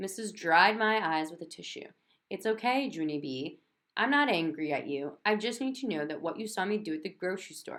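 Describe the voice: Plain reading aloud, lively in intonation, over a quiet background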